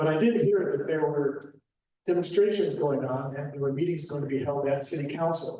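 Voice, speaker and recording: This man's voice is dark and mellow, somewhat breathy and fairly high in pitch, moving at a fairly quick pace. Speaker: local historian presenter. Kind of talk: public talk with slides.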